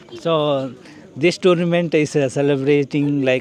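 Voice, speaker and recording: There is noticeable background noise as a man with a fairly high pitch speaks at a fairly slow pace with fairly even intonation. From India. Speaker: vlogger. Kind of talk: interviewer questions.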